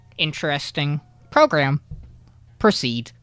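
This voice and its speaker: This is a put-on character voice at a low-to-middle pitch. It moves at a fairly slow pace. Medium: actual play. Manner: terse, clipped, robotic fragments.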